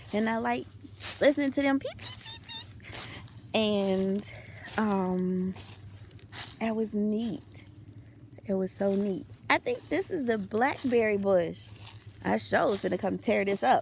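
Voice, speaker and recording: Somewhat breathy and medium in pitch, a woman with an American accent speaks fairly slowly with lively intonation and long, frequent pauses. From US Midwest, Chicago. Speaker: vlogger, homesteader. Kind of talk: casual vlog walkthrough. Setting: outdoors.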